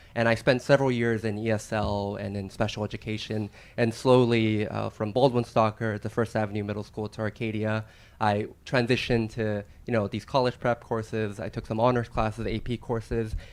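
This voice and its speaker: With a fairly low voice and an American accent, a man speaks at a fairly quick pace in a monotone, flat intonation on a very clean recording with a silent background. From San Gabriel Valley, California, partly Argentina. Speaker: attorney. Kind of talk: career panel talk.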